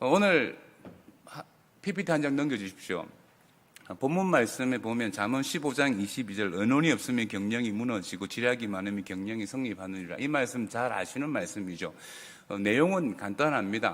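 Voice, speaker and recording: Using lively intonation, a man talks at a moderate pace and a medium pitch. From South Korea, Busan. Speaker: pastor. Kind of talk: ministry talk at a worship service.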